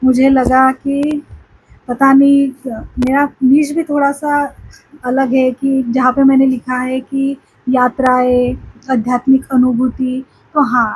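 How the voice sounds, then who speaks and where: Flat, monotone intonation is heard over noticeable background noise. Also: woman, high pitch for a woman. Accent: Marathi. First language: Marathi (speaking Hindi). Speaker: spiritual vlogger. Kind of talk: casual vlog talk to camera. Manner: halting, many fillers.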